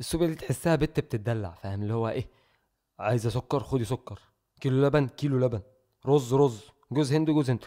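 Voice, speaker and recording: A man with a dark, mellow tone speaks at a medium pitch and a fairly quick pace with ordinary pitch variation, in a dry, close sound with no echo. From Egypt, Cairo. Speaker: YouTuber. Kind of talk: casual vlog monologue. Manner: lowered voice; animated.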